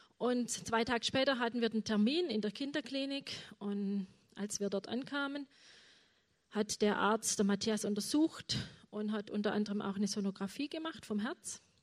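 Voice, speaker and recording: A woman at a moderate pace, an ordinary speaking voice pitched fairly high, with ordinary pitch variation. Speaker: mother of a chronically ill son. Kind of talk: testimony.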